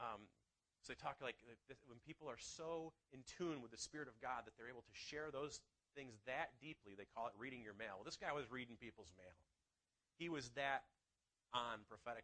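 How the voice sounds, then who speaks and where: At a fairly quick pace but with long, frequent pauses, a man speaks at a medium pitch with a bright, sharp tone and ordinary pitch variation. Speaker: pastor. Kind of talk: sermon.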